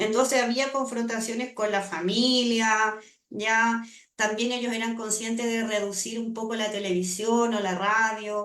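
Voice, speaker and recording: Amid audible room echo, a woman with a fairly high pitch speaks at a fairly slow pace in a monotone, flat intonation. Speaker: language acquisition researcher. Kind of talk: seminar Q&A answer.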